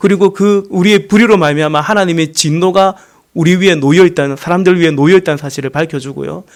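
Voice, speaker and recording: Loud and at a very fast pace, a man speaks in a high pitch with ordinary pitch variation. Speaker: pastor. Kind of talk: sermon.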